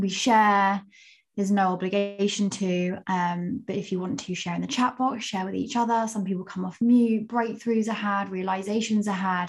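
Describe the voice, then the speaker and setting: A woman talks at a moderate pace with a medium pitch. Music is playing behind her. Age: 30s. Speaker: podcast host and marketing coach. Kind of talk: podcast interview.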